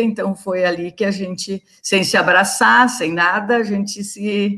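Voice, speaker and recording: Her tone bright and sharp, the woman talks at a medium pitch. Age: 60s. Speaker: retired teacher. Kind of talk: interview.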